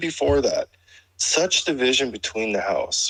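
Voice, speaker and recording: A man is speaking. He keeps a moderate pace. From Canada. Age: 60s. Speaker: caller in a live audio chat room. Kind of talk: casual chat. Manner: halting, many repeated words.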